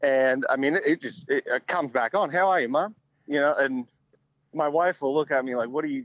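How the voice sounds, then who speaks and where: With an American accent, a man speaks at a fairly quick pace in a fairly high pitch, using ordinary pitch variation. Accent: switches between Australian and American. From Australia, early childhood in Miami. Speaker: former professional baseball player. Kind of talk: interview.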